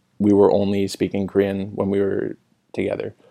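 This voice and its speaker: Against a very clean recording with a silent background, a man speaks at a moderate pace. His voice is fairly low, with a dark, mellow tone. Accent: Maritime Canadian. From Canada, small town in New Brunswick. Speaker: podcast guest, Korean culture enthusiast. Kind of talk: casual chat.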